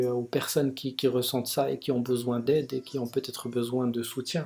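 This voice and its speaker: A soft-spoken man talks with a dark, mellow tone. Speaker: vlogger sharing personal experience of depression. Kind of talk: personal video monologue. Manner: slow, soft articulation; halting, many repetitions and hesitations.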